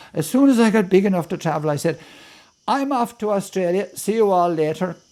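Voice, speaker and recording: On a very clean recording with a silent background, a man with an Irish accent speaks with ordinary pitch variation. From Ireland. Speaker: poet. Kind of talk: storytelling interview.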